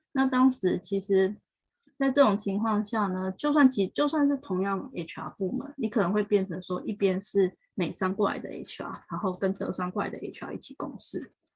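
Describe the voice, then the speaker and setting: Her voice somewhat breathy, a woman speaks at a moderate pace with lively intonation. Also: medium pitch for a woman. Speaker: HR professional working in Japan. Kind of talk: interview. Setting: live stream.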